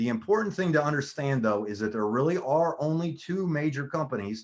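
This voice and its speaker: A man talks at a fairly quick pace. His pitch moves in an ordinary way. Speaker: direct sales presenter. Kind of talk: sales pitch. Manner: fast; animated.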